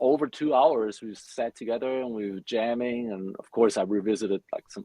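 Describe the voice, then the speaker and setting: In a German accent, a man speaks at a moderate pace. His medium pitch shows ordinary variation. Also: big swings in loudness. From Germany. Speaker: metal bassist. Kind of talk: podcast interview.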